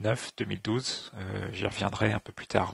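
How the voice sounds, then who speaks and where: A man talks with vocal fry. The sound is dry and close, with no echo. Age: 30s. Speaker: engineer. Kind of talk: interview testimony. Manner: halting, many filler sounds.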